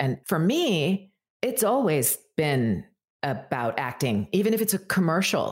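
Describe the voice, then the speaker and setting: A woman speaks with very wide pitch swings. The recording is very clean, with a silent background. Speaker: voice actor. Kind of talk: casual chat. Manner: well-articulated.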